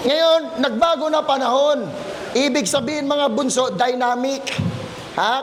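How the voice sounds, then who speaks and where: A man at an extremely high pitch with ordinary pitch variation, audible room echo and noticeable background noise. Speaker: criminology lecturer. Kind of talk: lecture. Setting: classroom hall with students. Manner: animated, rising voice when passionate; swears heavily, joking.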